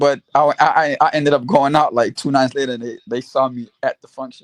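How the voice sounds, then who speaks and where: With an unremarkable speaking voice, a man talks at a fairly quick pace and a fairly high pitch, with fairly even intonation, in a dry, close sound with no echo. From US, born in Haiti, moved at six. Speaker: basketball podcast panelist. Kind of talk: casual chat.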